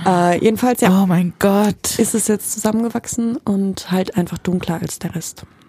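A woman speaks at medium pitch with a dark, mellow, somewhat breathy tone. Her pace is moderate, with hardly any pauses. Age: 20s. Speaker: costume designer. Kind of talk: casual chat. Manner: animated.

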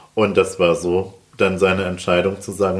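Against noticeable background noise, a man speaks at a moderate pace in a very deep, low pitch with monotone, flat intonation. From Rhineland-Palatinate, Germany. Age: 30s. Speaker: real estate agent and author. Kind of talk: interview.

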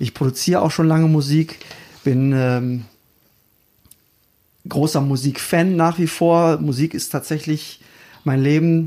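Fairly even intonation in a dark, mellow tone at a fairly slow pace. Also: man, fairly high pitch for a man.

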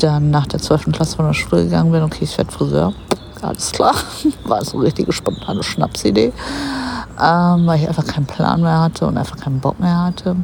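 Very fast speech from a woman, with noticeable background noise. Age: 30s. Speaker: podcast host, hairdresser and bodybuilder. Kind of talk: casual monologue. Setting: outdoors on a park bench. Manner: casual, filler-heavy.

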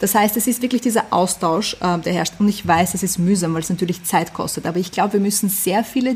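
A woman with a medium pitch talks in fairly even intonation, with noticeable noise behind her. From Vienna, Austria. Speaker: fashion label founder. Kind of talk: interview. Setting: video call.

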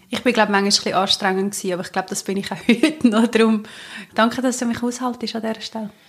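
A woman speaks at a very fast pace in a fairly high, somewhat breathy voice. Her intonation stays fairly even. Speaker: podcast co-host. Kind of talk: casual chat.

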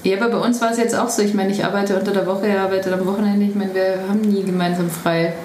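In a room with audible echo and noticeable background noise, a woman speaks very fast at a medium pitch, with monotone, flat intonation and very even loudness. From Bavaria, Traunstein. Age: 40s. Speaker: vegetarian restaurant owner. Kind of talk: interview. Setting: restaurant.

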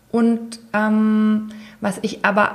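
A woman talks with a fairly high pitch. Her voice is somewhat breathy. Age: 40s. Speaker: tax advisor. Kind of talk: interview conversation.

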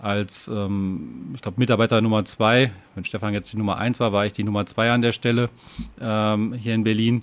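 A man's fairly low pitch, fairly even intonation and moderate pace. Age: 30s. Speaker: company executive. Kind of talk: interview. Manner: halting, many fillers.

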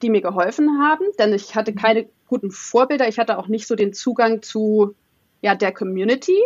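This is a woman speaking. Her pitch is fairly high, with ordinary variation. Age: 30s. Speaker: former corporate engineer. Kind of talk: interview.

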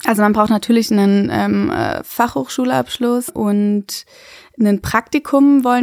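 In a dry, close recording with no echo, a woman speaks at a fairly slow pace with fairly even intonation. Hers is an unremarkable speaking voice, fairly high in pitch. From Germany, Freiburg. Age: 20s. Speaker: midwife. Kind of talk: interview, casual chat.

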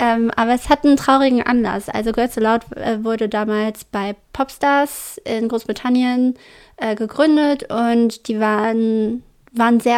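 Against a silent background in a very clean recording, a woman with a fairly high voice speaks at a fairly slow pace and with fairly even intonation. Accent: Braunschweig. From Germany, Braunschweig. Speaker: podcast co-host. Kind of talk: casual chat.

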